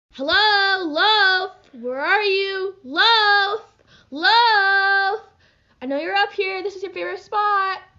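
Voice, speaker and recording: A put-on character voice, extremely high in pitch, at a very slow pace. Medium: voice reel.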